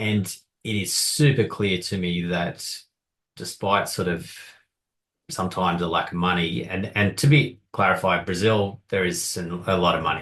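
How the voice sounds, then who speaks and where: Very deep and low, a man's voice comes in an Australian accent at a moderate pace with ordinary pitch variation. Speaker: podcast co-host. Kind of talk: casual chat.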